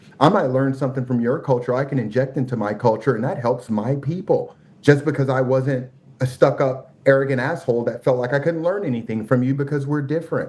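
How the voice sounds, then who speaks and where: With a normal speaking voice, a man talks fairly quickly at medium pitch and with ordinary pitch variation. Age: 40s. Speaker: podcast guest. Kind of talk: casual conversation.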